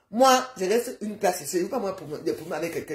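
A woman speaks at a very fast pace, somewhat breathy, with audible room echo. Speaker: social media live streamer. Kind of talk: casual rant. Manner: animated. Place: home room. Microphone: phone near.

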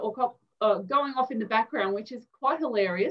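Over a quiet background, a woman speaks at a fairly quick pace with an Australian accent. Her intonation is lively. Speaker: interview host. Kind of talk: interview questions. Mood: warm, amused. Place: home room. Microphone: video call.

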